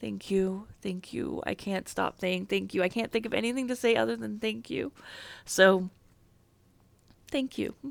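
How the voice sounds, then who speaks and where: On a very clean recording with a silent background, a woman at a medium pitch speaks at a moderate pace with very wide pitch swings and long, frequent pauses. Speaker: game streamer. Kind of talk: live stream chat.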